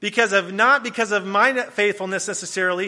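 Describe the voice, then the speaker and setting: A man with an American accent speaks in a raised, projected voice. His tone is bright and sharp, with ordinary pitch variation. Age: 20s. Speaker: guest preacher. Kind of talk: sermon. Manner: hesitant, many fillers.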